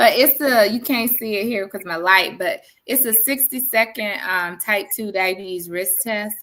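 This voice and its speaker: Her tone bright and sharp, a woman speaks at a fairly high pitch and a moderate pace with ordinary pitch variation and hardly any pauses. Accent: Southern US. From South Carolina, Sumter. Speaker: diabetes educator and occupational therapist. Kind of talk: educational presentation in podcast interview. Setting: livestream video call.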